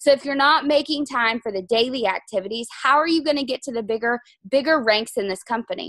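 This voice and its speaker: A woman talks at a very fast pace in a high voice with ordinary pitch variation. The sound is dry with no echo, and the background is quiet. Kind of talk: team training talk. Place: home room. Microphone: video call.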